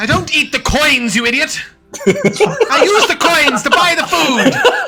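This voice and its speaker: A man puts on a character voice pitched extremely high, swinging very widely in pitch at a fairly slow pace. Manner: indignant, shouting.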